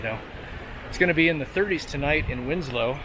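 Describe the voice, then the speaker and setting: Through noticeable background noise and audible room echo, a man speaks in a relaxed tone with ordinary pitch variation. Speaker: travel vlogger. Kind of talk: vlog narration while hiking. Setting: outdoors on a hiking trail. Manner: whispering; casual, relaxed.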